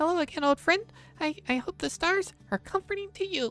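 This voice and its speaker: In a put-on character voice, the speaker squeaks at an extremely high pitch and a fairly quick pace. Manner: warm, comforting.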